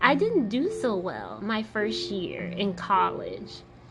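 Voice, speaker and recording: Soft-spoken with lively intonation, the voice comes through noticeable background noise. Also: woman. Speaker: podcast host. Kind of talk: personal podcast monologue.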